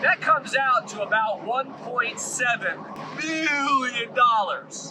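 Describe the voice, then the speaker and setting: Over noticeable background noise, a raised, projected voice carries lively intonation. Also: man. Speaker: commercial real estate broker. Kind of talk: casual vlog storytelling. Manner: loud.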